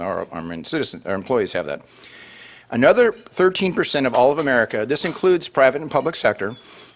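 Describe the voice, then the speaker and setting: A man talks at a very fast pace with vocal fry. His pitch swings very widely and his loudness shifts a lot. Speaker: city council member and finance professional. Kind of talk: panel presentation. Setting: lunch event with audience. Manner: halting with many fillers.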